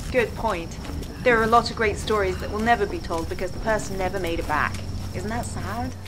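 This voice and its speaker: Noticeable background noise sits behind a woman with a British accent. She talks at a fairly quick pace. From England. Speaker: gaming channel host. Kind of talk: video game commentary. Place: home room.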